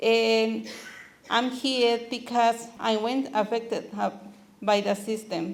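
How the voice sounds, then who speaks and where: A woman with a Spanish accent speaks very slowly in a flat, monotone delivery. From Mexico. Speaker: immigrant rights activist. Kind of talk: talk to meeting. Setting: community meeting.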